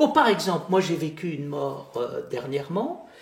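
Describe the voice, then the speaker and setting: The man speaks at a fairly slow pace. Noticeable background noise is present. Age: 70s. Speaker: philosopher and theologian. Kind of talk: interview conversation.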